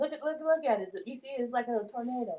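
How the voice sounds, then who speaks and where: Soft-spoken, a woman talks in a high pitch with lively intonation. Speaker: student learning card reading. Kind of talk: practice card reading. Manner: quiet, soft-spoken.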